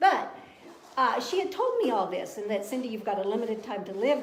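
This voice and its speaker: A woman at a fairly quick pace with very wide pitch swings, amid noticeable background noise and audible room echo. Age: 70s. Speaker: cancer survivor. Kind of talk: testimony. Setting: live video stream.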